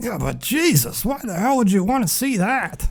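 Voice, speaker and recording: Over noticeable background noise, a man puts on a character voice with a high pitch at a moderate pace. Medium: audio drama. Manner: blunt, sardonic.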